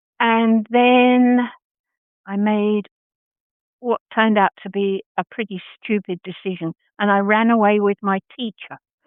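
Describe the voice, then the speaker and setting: At a fairly slow pace broken by long, frequent pauses, the speaker uses monotone, flat intonation in an Australian accent. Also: woman, fairly high pitch for a woman. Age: 80s+. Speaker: costume maker. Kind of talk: interview.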